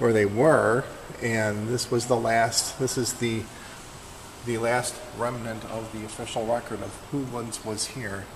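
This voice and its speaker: Fairly slow speech from a man at a medium pitch, noticeable background noise behind him. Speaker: former newspaper worker. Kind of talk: casual commentary.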